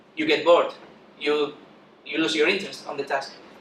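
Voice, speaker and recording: Noticeable background noise and audible room echo surround the recording. A man speaks fairly quickly. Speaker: software developer. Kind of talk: conference talk. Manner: fast.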